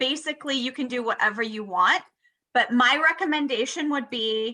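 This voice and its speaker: A woman's high-pitched voice with a bright, sharp tone, ordinary pitch variation and a moderate pace. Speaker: sales manager leading team training. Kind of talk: training tutorial on video call. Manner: animated.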